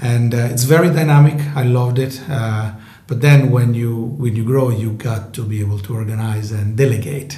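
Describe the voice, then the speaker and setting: A man with an Italian accent at a moderate pace, fairly even intonation and hardly any pauses, over noticeable background noise. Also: medium pitch for a man. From northern Italy. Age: 40s. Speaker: tech company co-founder. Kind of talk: interview.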